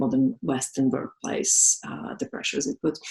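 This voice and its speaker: A woman with a Slovak accent speaks at a moderate pace in a very deep, low voice. Her intonation is lively, and the sound is dry and close, with no echo. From Slovakia. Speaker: massage therapist and business owner. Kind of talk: interview. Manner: halting.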